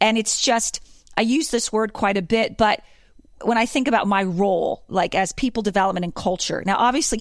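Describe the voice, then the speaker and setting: The speaker has an American accent and an enthusiastic tone at a moderate pace. The recording is very clean, with a silent background. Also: woman. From Pennsylvania. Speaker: corporate culture director. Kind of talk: interview.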